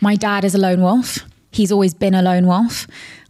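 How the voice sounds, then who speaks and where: A woman at a medium pitch and a fairly quick pace. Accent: London. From London. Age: 20s. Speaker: entrepreneur and influencer. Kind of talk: casual chat.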